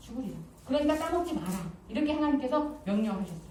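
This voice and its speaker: A high-pitched woman speaks with very wide pitch swings, with audible room echo and noticeable background noise. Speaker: pastor. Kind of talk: sermon. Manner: fast.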